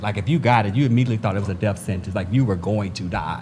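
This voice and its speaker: A man does the talking. Background noise can clearly be heard. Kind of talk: group conversation.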